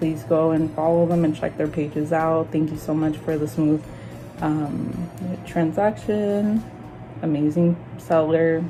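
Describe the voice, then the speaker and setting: Music plays in the background as a woman talks at a fairly slow pace with a fairly low pitch and fairly even intonation. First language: Spanish. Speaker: collector YouTuber. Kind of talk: unboxing video.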